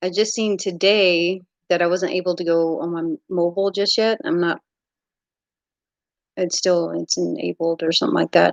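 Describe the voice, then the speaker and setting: A woman talks at a moderate pace in an American accent. The sound is dry and close, with no echo. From US South, Mississippi. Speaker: YouTuber, underwater treasure finder. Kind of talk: live stream chat with viewers. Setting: live stream.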